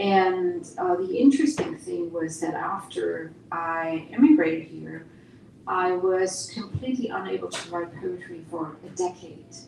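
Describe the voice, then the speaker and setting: A woman at a fairly slow pace, big swings in loudness, audible room echo and noticeable background noise. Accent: German. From East Germany. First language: German. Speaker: poet and university teacher. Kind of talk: Q&A answer.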